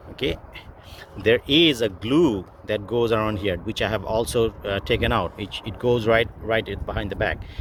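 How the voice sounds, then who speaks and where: A man talks with a non-native accent. His pitch is medium and his pace moderate. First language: not English. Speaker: car DIY video maker. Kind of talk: tutorial. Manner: halting, many fillers.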